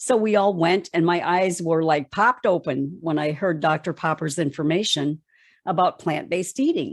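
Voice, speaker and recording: A woman's unremarkable speaking voice, fairly low-pitched, with ordinary pitch variation, a moderate pace and very even loudness, on a very clean recording with a silent background. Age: 60s. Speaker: plant-based diet educator. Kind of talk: interview.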